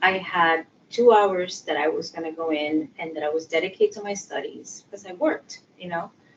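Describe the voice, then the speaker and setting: This woman talks with a Spanish accent at a fairly low pitch. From Puerto Rico. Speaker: sociology professor and social worker. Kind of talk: interview. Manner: many fillers (um).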